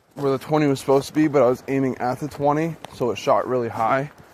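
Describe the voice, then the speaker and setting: The speaker is a man with a fairly high pitch. His intonation stays fairly even. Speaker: outdoors YouTuber reviewing a bow. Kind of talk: casual tutorial. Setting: outdoors. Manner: loud, near yelling.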